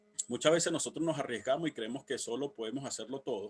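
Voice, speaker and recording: This man's pitch rises and falls in an ordinary way. The sound is dry and close, with no echo. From Venezuela. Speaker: civil protection instructor. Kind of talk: workshop lecture. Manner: fast; halting.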